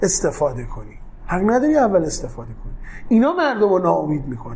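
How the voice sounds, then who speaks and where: A high-pitched man at a fairly quick pace, with audible room echo. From Tehran, Iran (south Tehran). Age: 40s. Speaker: entrepreneur, company CEO. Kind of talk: interview. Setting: office.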